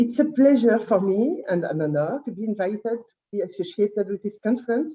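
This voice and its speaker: A fairly high-pitched, somewhat breathy woman with lively intonation, speaking at a fairly quick pace. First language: French. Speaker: historian. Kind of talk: conference talk. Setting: conference. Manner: halting.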